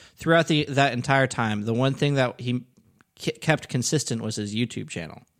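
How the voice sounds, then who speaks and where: The pace here is moderate. It's a normal speaking voice with ordinary pitch variation. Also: man, medium pitch for a man. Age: 20s. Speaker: digital marketing professional, podcast co-host. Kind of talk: casual chat.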